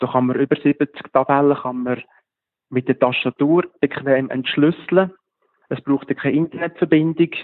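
In a normal speaking voice, a man talks at a moderate pace and a fairly high pitch, with fairly even intonation. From Switzerland, Lucerne region. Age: 40s. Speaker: app developer and geocacher. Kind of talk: interview.

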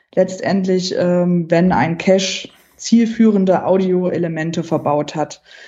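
Woman speaking at a very slow pace with fairly even intonation. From Saxony-Anhalt, Germany. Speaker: geocacher, accessibility campaigner. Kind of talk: interview.

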